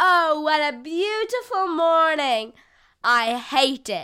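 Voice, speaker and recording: A female-sounding put-on character voice, high-pitched and spoken at a very slow pace. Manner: dry, droll.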